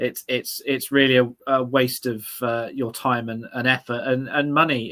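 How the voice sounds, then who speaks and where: A man speaks with an English accent in a medium pitch. His pace is moderate, and his intonation fairly even. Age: 30s. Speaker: political commentator. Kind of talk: casual chat. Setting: livestream.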